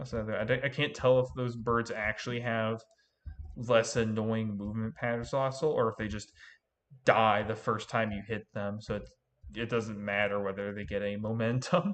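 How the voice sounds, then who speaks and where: Against a quiet background, a man speaks at a moderate pace. His pitch is medium and his intonation fairly even. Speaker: gaming streamer. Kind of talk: live gameplay commentary. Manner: loud; casual, halting.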